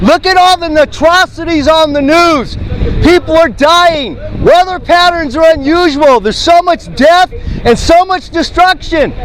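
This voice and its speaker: A man talks at a fairly slow pace with an extremely high pitch and ordinary pitch variation. His loudness stays very even, and there is noticeable background noise. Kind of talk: street preaching, loud proclamation of judgment. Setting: outdoors, street corner, on a microphone. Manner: loud, emphatic, repetitive.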